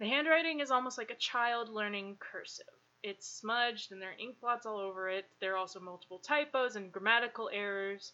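This is an unremarkable speaking voice with ordinary pitch variation. It moves at a fairly quick pace and swings widely in loudness. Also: woman, fairly high pitch for a woman. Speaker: podcast host. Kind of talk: casual chat.

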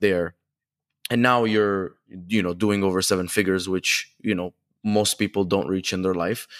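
This man has a plain, everyday voice with a fairly low pitch and fairly even intonation. The recording is very clean and dry, with a close sound, no echo and a silent background. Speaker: podcast host. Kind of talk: casual interview chat.

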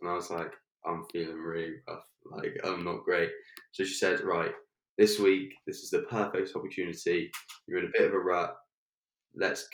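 A man talks with an English accent. His pace is moderate. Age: 20s. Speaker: health coach. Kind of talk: personal testimony in interview.

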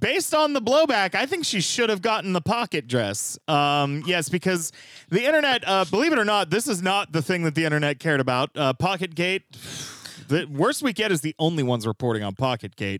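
The sound is dry and close, with no echo. A man speaks at a high pitch with very wide pitch swings. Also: fairly quick pace, very clean recording, silent background. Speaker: podcast host. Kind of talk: casual comedic news-recap chat.

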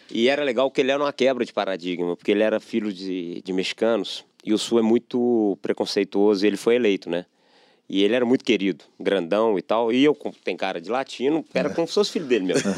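Rushing at a very fast pace, this man keeps a fairly low pitch that varies in an ordinary way. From Belo Horizonte, Minas Gerais, Brazil. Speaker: sales executive. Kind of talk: casual interview chat.

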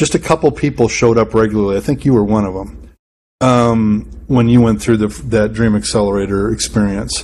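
Here is a man with an American accent, talking at a fairly quick pace in a fairly low pitch. He has a plain, everyday voice with ordinary pitch variation. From Wisconsin. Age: 40s. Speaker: pastor and church consultant. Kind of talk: interview conversation. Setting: pastor's office.

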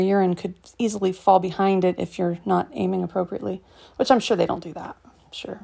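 On a very clean recording with a silent background, a woman speaks at a moderate pace in a medium pitch with a dark, mellow tone. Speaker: podcast host. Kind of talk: casual monologue. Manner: chatty, rambling.

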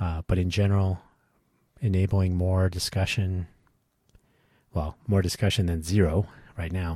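A man with a very deep, low pitch speaks in a dark, mellow, somewhat breathy tone with monotone, flat intonation. His moderate pace is broken by long, frequent pauses. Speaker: podcast host. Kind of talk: solo podcast monologue.

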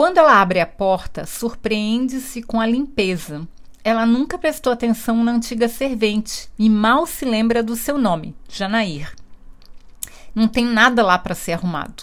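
In a plain, everyday voice, the speaker goes at a fairly slow pace with lively intonation. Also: woman, fairly high pitch for a woman. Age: 50s. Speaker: book reviewer. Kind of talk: book review monologue.

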